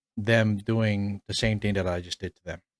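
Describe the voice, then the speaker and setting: Heard on a very clean recording with a silent background and a dry, close sound with no echo, a man in a normal speaking voice talks at a fairly low pitch with fairly even intonation. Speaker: podcast host. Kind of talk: casual chat.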